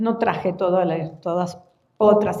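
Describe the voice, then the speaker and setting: With audible room echo, a woman speaks in an Argentine accent. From Argentina. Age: 60s. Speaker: floral therapy teacher. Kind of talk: conference talk. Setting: conference hall with audience.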